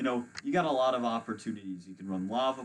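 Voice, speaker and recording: Man with an ordinary speaking voice, medium pitch and fairly quick pace. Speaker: competitive gaming commentator. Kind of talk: live commentary.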